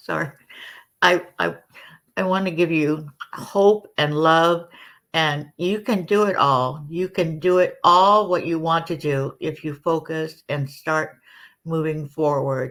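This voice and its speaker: In a very clean recording with a silent background, a woman talks at a very slow pace in a very deep, low voice. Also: ordinary pitch variation. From Hawaii. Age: 70s. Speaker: counselor. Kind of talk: interview.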